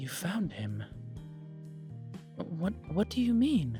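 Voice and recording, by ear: With faint music behind him, a man in a put-on character voice speaks slowly at a high pitch, his dark, mellow tone marked by big pitch swings.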